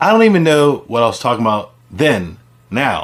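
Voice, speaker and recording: A man speaks with a fairly high pitch and vocal fry. His voice swings very widely in pitch. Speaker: channel host, stroke survivor with aphasia. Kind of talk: personal storytelling monologue. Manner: halting, with repetitions and restarts; slower than before his stroke.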